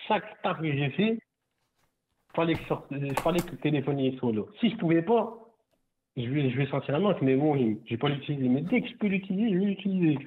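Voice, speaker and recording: A man speaks at a fairly quick pace with a fairly high pitch. Long, frequent pauses break up his speech. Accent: strong northern French. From northern France (Nord). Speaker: caller, ride-hail driver. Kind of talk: casual chat. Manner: halting.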